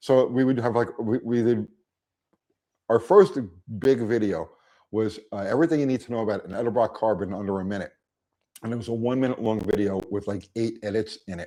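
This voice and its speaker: A man at a fairly quick pace with long, frequent pauses, medium pitch, fairly even intonation and a dark, mellow tone. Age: 60s. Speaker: YouTube car mechanic creator. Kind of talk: casual interview. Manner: halting, repeats words.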